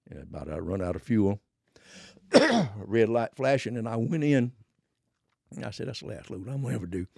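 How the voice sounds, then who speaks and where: A man with a Southern US accent talks very fast in a dark, mellow tone with lively intonation. The sound is dry and close, with no echo. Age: 80s+. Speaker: former drug smuggler. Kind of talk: casual interview storytelling.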